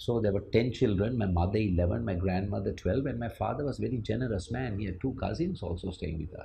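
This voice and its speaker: A man talks at a very fast pace with hardly any pauses, sounding somewhat breathy, his pitch varying in an ordinary way. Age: 60s. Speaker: former managing director of an IT firm. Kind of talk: interview.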